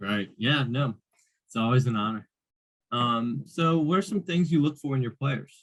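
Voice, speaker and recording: A man talks at a moderate pace with lively intonation and medium pitch. He has an unremarkable speaking voice. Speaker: student interviewer. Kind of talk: interview.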